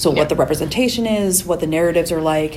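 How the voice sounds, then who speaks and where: A woman talks at a very fast pace with ordinary pitch variation. Audible room echo and noticeable background noise fill the recording. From Calgary, Alberta, Canada. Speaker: podcast co-host and PhD student. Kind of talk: casual interview chat.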